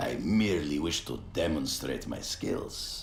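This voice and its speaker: A man's put-on character voice, very deep and low, at a fairly slow pace over clear background noise. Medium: video game. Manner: formal, measured, no contractions.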